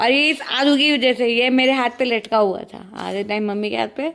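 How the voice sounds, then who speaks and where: The woman's pitch is high. She keeps a moderate pace. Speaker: family vlogger. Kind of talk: casual vlog chat. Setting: at home.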